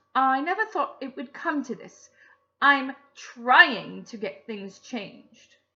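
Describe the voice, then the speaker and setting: Using a put-on character voice, a woman speaks up in a raised, projected voice that is shrill and high-pitched, with very wide pitch swings, big swings in loudness and a fairly slow pace. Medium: read story. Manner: imperious, agitated.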